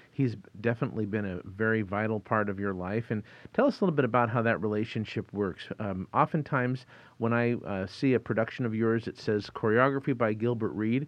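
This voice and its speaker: A man with a normal speaking voice, a medium pitch and ordinary pitch variation, at a fairly quick pace. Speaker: podcast host. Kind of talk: interview. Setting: studio.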